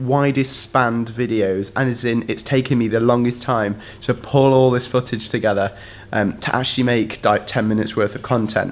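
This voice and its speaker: A man talking at a fairly quick pace, fairly even intonation, music in the background. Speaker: student vlogger. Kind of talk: casual vlog chat. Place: home room. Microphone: phone near.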